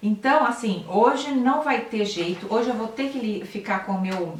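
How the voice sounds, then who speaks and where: A woman talks at a fairly slow pace, with noticeable background noise and audible room echo. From Brazil, São Paulo city. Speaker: health and nutrition channel host. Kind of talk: live stream talk to viewers, reading comments. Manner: conversational, with hesitations and self-corrections. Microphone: laptop camera, weak audio quality.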